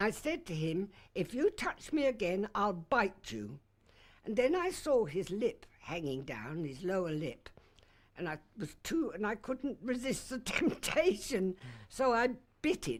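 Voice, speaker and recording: Vocal fry marks this woman's medium-pitched voice. She speaks at a fairly slow pace with very wide pitch swings. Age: 80s+. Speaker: crime victim. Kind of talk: testimony.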